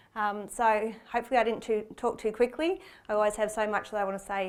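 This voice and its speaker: In a very clean recording with a silent background, a woman with an Australian accent talks at a fairly quick pace, with medium pitch and fairly even intonation. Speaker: cardiac arrest researcher. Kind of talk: conference presentation. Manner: fast; hesitant, many fillers.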